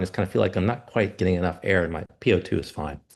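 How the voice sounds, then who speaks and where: A man talks at a very fast pace. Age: 60s. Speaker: physician and patient presenter. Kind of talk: personal story in a presentation. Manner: halting, many fillers and restarts.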